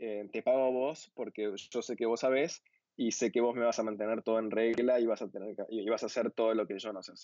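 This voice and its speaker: In a dry, close sound with no echo, a man with a medium pitch and dark, mellow tone talks fairly quickly in a monotone, flat intonation. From Argentina, Buenos Aires. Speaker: visual developer and designer. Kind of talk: casual interview.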